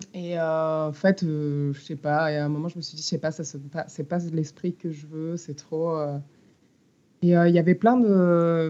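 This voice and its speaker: Speaking at a very slow pace, a woman uses a very deep, low pitch and a dark, mellow tone with fairly even intonation. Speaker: musician and songwriter. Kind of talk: interview.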